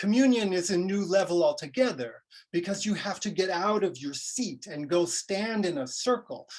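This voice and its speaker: Lively intonation runs through speech delivered at a middling speed. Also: man. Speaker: associate pastor. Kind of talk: sermon.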